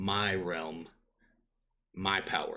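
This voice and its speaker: A man puts on a character voice that is resonant, booming, and loud, in a very clean recording with a silent background. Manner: menacing, commanding.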